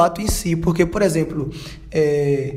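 A man's high voice at a moderate pace with fairly even intonation, amid noticeable background noise and audible room echo. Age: 20s. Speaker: church youth group leader. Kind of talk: casual discussion podcast.

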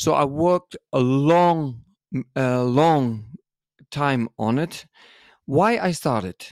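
A man with a Dutch accent speaks very slowly at a fairly high pitch with lively intonation and long, frequent pauses, on a very clean recording with a silent background and a dry, close sound with no echo. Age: 50s. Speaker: dance school owner and podcast co-host. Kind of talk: interview.

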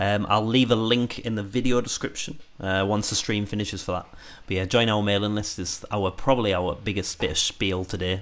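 Fairly low in pitch, a man uses a plain, everyday voice. His intonation stays fairly even. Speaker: musician and guitarist, band member. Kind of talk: casual livestream chat about making a song. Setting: live stream. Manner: chatty, laughs often.

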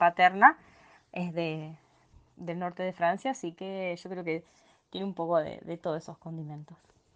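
The speaker is a woman with a fairly low pitch. Her intonation stays fairly even. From Argentina, small town in Santa Fe province. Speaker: educational psychologist and lecturer. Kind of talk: interview, travel story.

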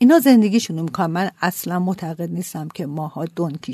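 A somewhat breathy woman speaks at a fairly quick pace with a medium pitch and ordinary pitch variation. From Iran, Qazvin. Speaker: NGO co-founder. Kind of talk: interview.

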